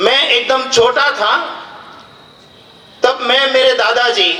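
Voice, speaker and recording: With a Gujarati accent, the speaker uses a raised, projected voice over noticeable background noise and audible room echo. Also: man. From Gujarat, India (Dholka near Ahmedabad). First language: Gujarati (speaking Hindi). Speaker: public official and speaker. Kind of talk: public speech. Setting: stage with audience. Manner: formal.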